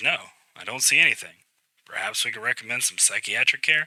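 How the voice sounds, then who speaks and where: A man does a put-on character voice that is raspy and medium-pitched. He talks at a fairly quick pace. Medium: read story. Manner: measured, professional.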